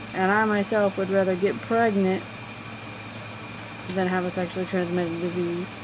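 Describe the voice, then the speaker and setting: A soft-spoken woman talks at a fairly quick pace and medium pitch. Audible room echo and noticeable background noise fill the recording. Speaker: astrology vlogger. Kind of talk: casual monologue. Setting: semi-dark room.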